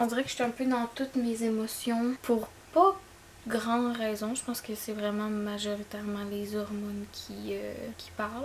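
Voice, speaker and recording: A woman with a Quebec accent speaks at a moderate pace, her pitch fairly high and her intonation fairly even. Noticeable background noise is present. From Sept-Îles, Côte-Nord, Quebec. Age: 20s. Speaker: esthetician and esthetics teacher. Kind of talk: casual talk to camera.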